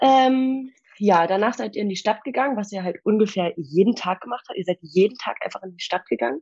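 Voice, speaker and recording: A woman talks at a fairly quick pace with lively intonation and a medium pitch. Her loudness swings a lot, in an ordinary speaking voice. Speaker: old school friend standing in as co-host. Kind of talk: casual chat; reading aloud an old diary.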